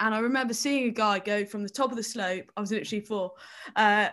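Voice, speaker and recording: This very clean recording, with a silent background, features a woman with a fairly high pitch. She talks at a fairly quick pace with ordinary pitch variation. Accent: southern English. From England, Kent. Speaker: Olympic snowboarder. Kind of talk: casual interview.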